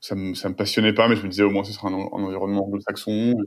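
A man with a fairly low pitch talks at a very fast pace in a monotone, flat delivery. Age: 30s. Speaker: tech entrepreneur. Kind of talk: interview. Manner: hesitant, many fillers and repetitions.

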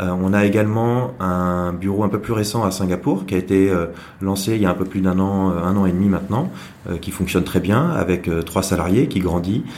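Over noticeable background noise and audible room echo, a man with a very deep, low pitch speaks at a moderate pace with fairly even intonation. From Brittany, France (Saint-Malo). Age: 30s. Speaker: entrepreneur, digital agency founder. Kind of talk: interview. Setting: office. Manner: hesitant, many fillers and repetitions.

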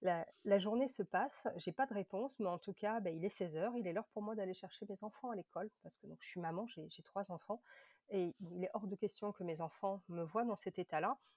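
In an unremarkable speaking voice, a woman talks at medium pitch and a moderate pace with ordinary pitch variation and big swings in loudness, in a dry, close sound with no echo. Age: 30s. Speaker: patient advocate, former liver disease patient. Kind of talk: testimony.

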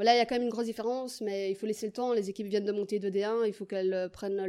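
A woman speaks very fast in a fairly high voice. Her intonation stays fairly even. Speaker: footballer and PE teacher. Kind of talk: interview.

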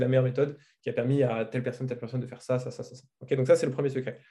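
A man talks at a very fast pace and a medium pitch, his dark, mellow voice somewhat breathy and his intonation monotone and flat. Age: 20s. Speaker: marketing agency owner. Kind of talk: interview.

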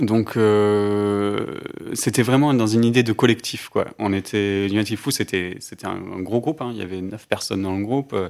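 At a moderate pace and with ordinary pitch variation, a man speaks on a very clean recording with a silent background. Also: fairly low pitch for a man. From southeastern France (Alpes-Maritimes). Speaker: music label co-founder. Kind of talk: interview conversation. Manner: halting, many fillers.

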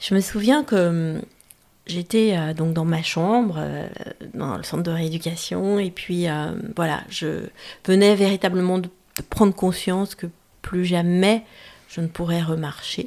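Delivered at a very slow pace with long, frequent pauses and ordinary pitch variation, the speech sits on a very clean recording with a silent background. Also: woman, fairly low pitch for a woman. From France, Auvergne. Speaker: pilot and speaker. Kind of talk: interview. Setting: her home.

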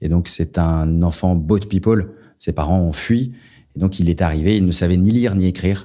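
A man speaks at a moderate pace in a very deep, low pitch with a dark, mellow tone. His loudness is very even and his intonation fairly even, on a very clean recording with a silent background. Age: 40s. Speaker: charity communications director. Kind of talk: interview. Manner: halting, many repetitions.

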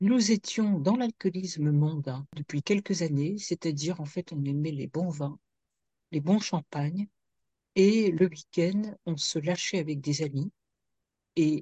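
In a dry, close recording with no echo and a quiet background, a woman with a dark, mellow tone and a fairly low pitch speaks somewhat breathily at a fairly slow pace, with long, frequent pauses, ordinary pitch variation and big swings in loudness. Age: 60s. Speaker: addiction consultant and author. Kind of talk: interview testimony.

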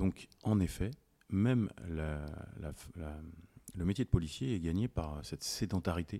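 A man's very deep, low voice, dark and mellow in tone, with lively intonation, a very slow pace, long and frequent pauses, and a dry, close sound with no echo. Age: 40s. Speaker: police officer and former decathlete. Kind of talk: casual chat.

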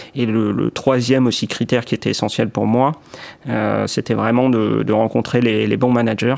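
Over noticeable background noise, a man talks at a medium pitch and a moderate pace. His intonation is monotone and flat, and his loudness is very even. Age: 20s. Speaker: key account manager. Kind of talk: testimony. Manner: hesitant, many fillers and repetitions.

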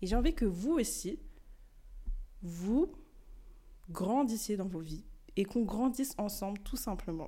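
A woman's dark, mellow tone. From France (born in Mali). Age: young (19). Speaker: podcaster, student. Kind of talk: solo podcast monologue.

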